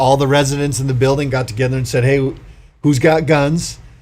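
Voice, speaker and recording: A man speaks at a moderate pace and medium pitch with monotone, flat intonation. Audible room echo surrounds his voice. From Hawaii, Big Island, much of youth abroad. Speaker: county sheriff and author. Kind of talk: podcast interview.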